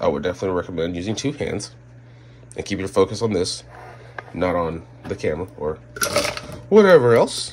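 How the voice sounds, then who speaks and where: A man talks at a moderate pace with very wide pitch swings over light background noise. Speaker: reptile keeper. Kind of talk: casual chat. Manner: casual, chatty. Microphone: phone near.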